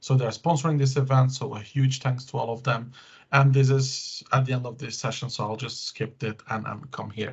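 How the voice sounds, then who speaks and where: A somewhat breathy man's voice at a medium pitch, with a non-native accent. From Belgium. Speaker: tech conference speaker. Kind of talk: tech presentation with demos. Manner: hesitant, many fillers.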